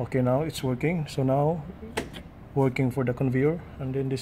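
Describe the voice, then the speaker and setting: Fairly quick delivery against noticeable background noise. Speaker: technician explaining panel. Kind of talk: tutorial. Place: factory. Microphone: phone near.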